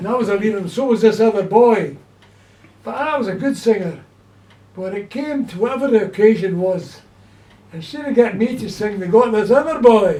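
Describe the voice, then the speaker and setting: A man with a Glaswegian accent speaks in a high pitch, leaving long, frequent pauses. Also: ordinary pitch variation, fairly quick pace, big swings in loudness. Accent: Glaswegian Scottish. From Scotland, Glasgow. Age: 80s+. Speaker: elderly man recalling childhood. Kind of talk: casual chat.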